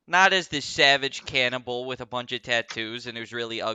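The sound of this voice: The voice is an unforced reading voice, and its intonation stays fairly even.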